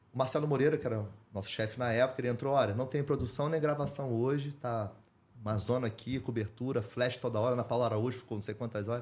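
Very fast speech from a man at medium pitch, with fairly even intonation. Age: 40s. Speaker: journalist and documentary producer. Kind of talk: interview.

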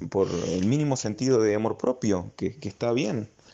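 A man's dark, mellow voice with an Argentine accent. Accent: Rioplatense Argentine Spanish. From Argentina. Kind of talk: casual chat.

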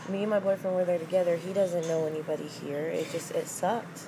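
With music playing in the background, a woman speaks very fast in a fairly low pitch and fairly even intonation. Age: 20s. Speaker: podcast guest. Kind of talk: casual chat.

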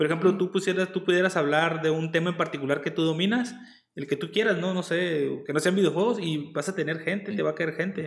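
In a Mexican accent, a man talks at a fairly quick pace and a high pitch with ordinary pitch variation. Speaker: streamer hosting interview. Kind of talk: casual chat. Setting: video call livestream.

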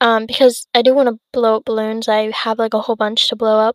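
A woman speaks at a fairly quick pace in a fairly high pitch and a monotone, flat intonation, with a dry, close sound, no echo, and a very clean recording over a silent background. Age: young. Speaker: podcast host. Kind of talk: casual monologue. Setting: home, sitting on bed. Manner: rambling, hesitant with many fillers.

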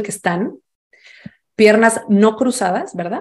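A woman speaks at a medium pitch. She has a Mexican accent. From Mexico. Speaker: fintech founder and financial educator. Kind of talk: interview and workshop talk; guided exercise.

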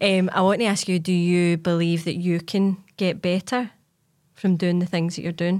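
In a Glasgow accent, a woman speaks at a moderate pace in a fairly low pitch, with monotone, flat intonation and very even loudness. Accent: Scottish (Glasgow). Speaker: podcast host and fitness coach. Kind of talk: casual interview chat. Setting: studio.

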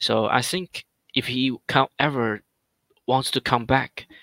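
A man's medium-pitched voice with a non-native accent and fairly even intonation, recorded dry and close with no echo. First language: not English. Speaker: gaming alliance leader. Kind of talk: casual chat. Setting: late-night online call.

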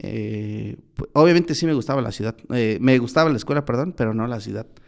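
A man is speaking. His pitch is medium, with ordinary variation. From Oaxaca, Mexico (Mixteca). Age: 20s. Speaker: lawyer. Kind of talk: casual interview. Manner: halting, many fillers.

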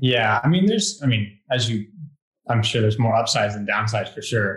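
A man talks with a plain, everyday voice at a fairly low pitch. His pitch variation is ordinary. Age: 20s. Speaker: elite road cyclist. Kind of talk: casual interview.

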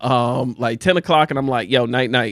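With a New Jersey accent, a man of medium pitch speaks at a fairly quick pace in an animated tone with ordinary pitch variation against a quiet background. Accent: New Jersey American. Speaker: podcast host. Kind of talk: casual chat. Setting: studio.

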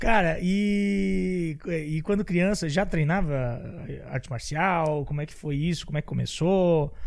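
A man speaks in a plain, everyday voice, fairly high in pitch. He goes at a fairly slow pace with ordinary pitch variation. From Santa Catarina, Brazil. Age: 30s. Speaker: podcast host. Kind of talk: casual interview.

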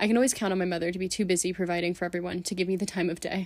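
Very fast and monotone with flat intonation, a woman with an American accent speaks at a medium pitch in a very clean recording with a silent background. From California, San Francisco. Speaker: student podcaster. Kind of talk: scripted monologue.

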